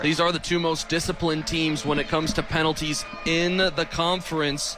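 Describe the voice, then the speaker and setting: There is music in the background as a man speaks with a high pitch. His loudness stays very even. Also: fairly quick pace. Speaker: sports broadcaster, radio play-by-play announcer. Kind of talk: college football radio play-by-play. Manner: fast, energetic.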